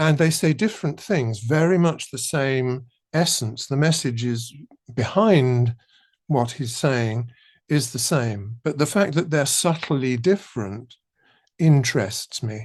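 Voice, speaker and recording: Somewhat breathy and at a fairly slow pace, a man speaks with lively intonation against a quiet background. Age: 80s+. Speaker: composer. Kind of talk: interview.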